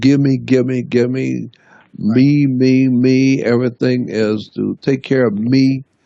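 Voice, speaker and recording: A man's medium-pitched voice with an American accent, a very slow pace, and fairly even intonation. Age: 70s. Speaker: conspiracy researcher. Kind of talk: radio interview.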